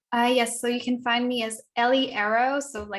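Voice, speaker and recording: A woman speaks at a moderate pace with a fairly high pitch and a German accent. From Germany. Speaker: activist and writer. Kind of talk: interview. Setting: conference. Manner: halting, many fillers and repeats.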